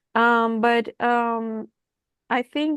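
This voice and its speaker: In a Persian accent, a woman talks with ordinary pitch variation. The sound is dry and close with no echo, over a quiet background. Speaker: writing group member. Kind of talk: casual group discussion.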